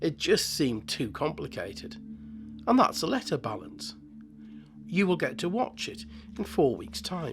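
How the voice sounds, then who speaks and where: A man at a moderate pace with long, frequent pauses, music in the background. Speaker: model-building channel host. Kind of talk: scripted narration. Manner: halting, with repeated words.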